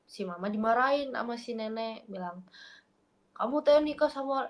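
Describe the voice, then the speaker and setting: Her intonation is lively. The woman's pitch is fairly high. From Makassar, South Sulawesi. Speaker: random video chat stranger. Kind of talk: casual chat.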